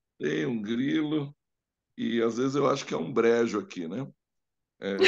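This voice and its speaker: Lively in intonation, a man with a plain, everyday voice speaks at a medium pitch. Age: 60s. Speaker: live stream host. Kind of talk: live Q&A talk.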